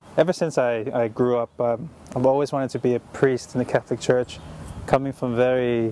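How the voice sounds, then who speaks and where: With a Tongan accent, a man talks at a moderate pace and medium pitch in a monotone, flat delivery over noticeable background noise. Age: 20s. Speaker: doctor. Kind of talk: motivational talk to students. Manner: earnest, encouraging.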